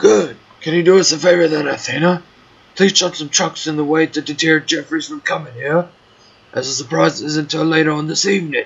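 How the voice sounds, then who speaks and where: Using a put-on character voice, a man talks at a fairly quick pace with a raspy, fairly high-pitched sound. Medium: machinima. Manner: grumbly.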